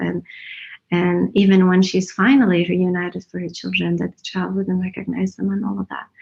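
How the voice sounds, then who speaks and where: A woman's somewhat breathy voice at medium pitch and a fairly quick pace. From Iran. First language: Persian or Kurdish. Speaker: writer. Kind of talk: panel discussion.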